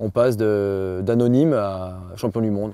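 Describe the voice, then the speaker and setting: With a slight Jura accent, a man speaks in a fairly low, dark, mellow voice on a very clean recording with a silent background. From France, Jura (near Dole). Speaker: rower and rowing coach. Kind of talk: interview testimony. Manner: hesitant, many fillers.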